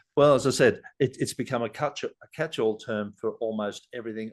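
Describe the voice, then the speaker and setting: A man talking at a fairly quick pace over a quiet background. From Sydney, Australia. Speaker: leadership guest. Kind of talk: podcast conversation. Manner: halting, many restarts.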